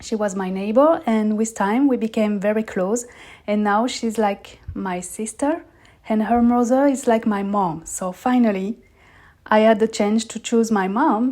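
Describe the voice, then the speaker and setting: A woman with a French accent speaks at a fairly slow pace and fairly high pitch, in a dark, mellow tone with ordinary pitch variation, on a very clean recording with a silent background. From southern France. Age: 30s. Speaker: podcast host. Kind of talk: personal storytelling monologue.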